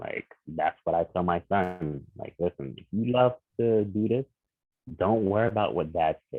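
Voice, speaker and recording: A man with a New York accent, fairly low pitch, ordinary pitch variation, and a moderate pace. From Queens, New York. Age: 30s. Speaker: visual artist. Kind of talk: podcast interview.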